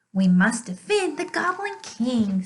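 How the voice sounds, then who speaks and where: In a put-on character voice, a woman talks fairly slowly, pitched high and with very wide swings in pitch. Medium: read story.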